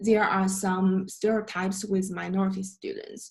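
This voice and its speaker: A woman's somewhat breathy, dark, mellow voice in a flat monotone. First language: not English. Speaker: student presenter. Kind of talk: class presentation. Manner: halting.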